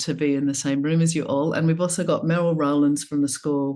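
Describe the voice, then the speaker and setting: A woman with an Australian accent speaks at a fairly quick pace with a very deep, low pitch and a dark, mellow tone. Her pitch varies in an ordinary way over a quiet background. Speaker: somatic coaching trainer and panel moderator. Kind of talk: online panel moderation.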